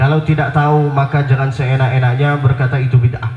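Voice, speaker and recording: Someone speaks at a fairly quick pace with an Arabic accent. Room echo is audible, and background noise is noticeable. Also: man. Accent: Arabic accent in Indonesian. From Saudi Arabia (Mecca). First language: Arabic (speaking Indonesian). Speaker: Islamic preacher. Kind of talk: religious lecture. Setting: outdoor public square event with audience.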